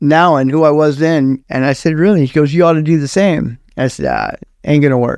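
A man speaks at a fairly quick pace in a plain, everyday voice. His pitch is fairly high and his intonation fairly even. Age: 60s. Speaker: former prison inmate, prison minister. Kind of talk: testimony.

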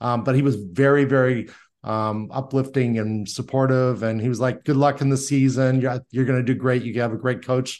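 A man speaks with a US Midwestern accent at medium pitch. His pace is moderate and his intonation is monotone and flat. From Indiana, US Midwest. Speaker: sales consultant and CEO. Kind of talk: interview conversation. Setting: video call.

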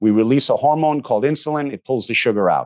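Against a quiet background, an unremarkable speaking voice carries lively intonation. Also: man. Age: 50s. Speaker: functional medicine doctor. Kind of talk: interview.

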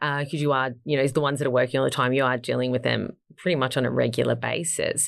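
With an Australian accent, a woman talks at a very fast pace with hardly any pauses. Her loudness stays very even in a very clean recording with a silent background. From Gold Coast, Queensland, Australia. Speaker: modeling agency founder. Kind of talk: interview.

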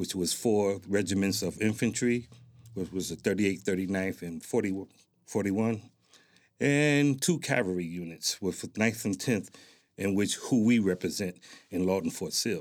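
A man's fairly low voice with an American accent, an ordinary speaking voice, ordinary pitch variation and a fairly slow pace, on a very clean recording with a silent background. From Newark, New Jersey. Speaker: military veteran, community organization president. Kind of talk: interview. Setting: studio.

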